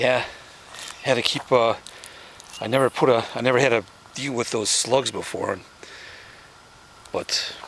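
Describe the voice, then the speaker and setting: Noticeable background noise runs behind a man at medium pitch. His delivery is monotone and flat, with long, frequent pauses. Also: moderate pace. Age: 70s. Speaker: home gardener. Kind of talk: casual tutorial. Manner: halting, many fillers and repeats.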